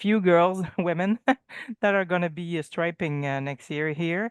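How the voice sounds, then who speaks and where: A woman's fairly low-pitched voice with a French Canadian accent and fairly even intonation, dry and close with no echo, against a quiet background. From Quebec, Canada. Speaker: painting trade teacher. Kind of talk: casual chat. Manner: halting.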